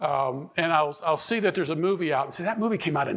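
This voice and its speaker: Over noticeable background noise, a man with an American accent talks at a high pitch with lively intonation. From Pittsburgh, Pennsylvania. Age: 70s. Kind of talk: conference talk. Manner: repetitive, halting.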